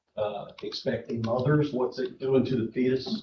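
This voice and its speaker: A man with an American accent speaks at a fairly slow pace. His voice is shaky. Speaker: public commenter at county meeting. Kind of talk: public comment. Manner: shaky, hesitant.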